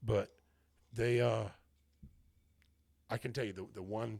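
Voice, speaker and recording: A man talks fairly slowly, his voice somewhat breathy. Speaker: podcast host. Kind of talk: casual chat.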